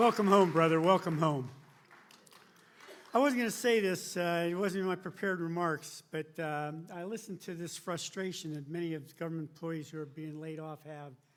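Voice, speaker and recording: Speaking at a fairly quick pace, a man uses a high pitch with ordinary variation. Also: big swings in loudness. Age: 70s. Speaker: retired army general. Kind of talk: town hall speech. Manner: halting.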